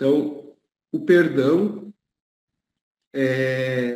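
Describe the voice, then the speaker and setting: A man's voice with a dark, mellow tone. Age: 30s. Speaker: planning analyst. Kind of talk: interview testimony.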